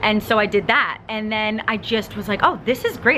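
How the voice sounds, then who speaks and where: A woman with a Long Island accent speaks at a medium pitch over noticeable background noise. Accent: New York (Long Island). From Long Island, New York. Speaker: vlogger. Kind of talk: personal Q&A vlog. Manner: fast; casual, filler-heavy.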